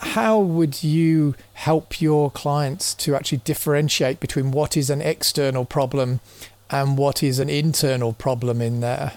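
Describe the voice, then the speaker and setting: With an unremarkable speaking voice, a man talks at a fairly slow pace and a fairly high pitch, using ordinary pitch variation and very even loudness. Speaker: podcast host. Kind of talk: conversational podcast and interview.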